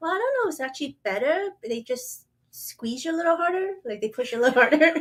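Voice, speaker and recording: A woman speaks very fast at a high pitch. Her pitch swings very widely. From Hong Kong. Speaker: podcast co-host. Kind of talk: casual chat.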